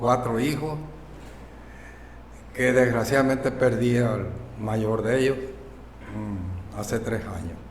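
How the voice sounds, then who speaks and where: Noticeable background noise and audible room echo surround a man speaking at a medium pitch. He uses ordinary pitch variation and takes long, frequent pauses. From Mexico, Baja California Sur. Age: 80s+. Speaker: local elder and foundry guide. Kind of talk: interview, personal storytelling.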